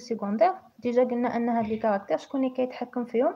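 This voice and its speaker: Her voice high, a woman speaks at a fairly quick pace with fairly even intonation. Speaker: teacher. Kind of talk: tutorial. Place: home room. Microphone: phone near.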